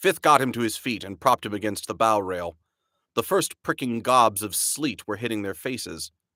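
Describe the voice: Quiet surroundings behind plain reading aloud, pitch varying in an ordinary way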